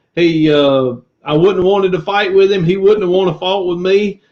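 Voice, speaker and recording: A man's high-pitched voice with a Southern US accent. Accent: country Southern. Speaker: former pastor turned reseller YouTuber. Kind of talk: casual live-stream chat. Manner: animated.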